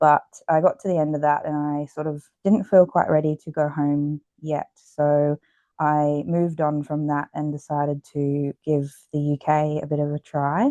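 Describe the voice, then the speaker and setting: Over a quiet background, a woman with a very deep, low pitch speaks in a flat monotone, her tone dark and mellow and the sound dry and close with no echo. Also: moderate pace. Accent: Australian. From Australia, Queensland Gold Coast. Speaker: exercise physiologist and author. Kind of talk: podcast interview. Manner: many fillers (um, uh).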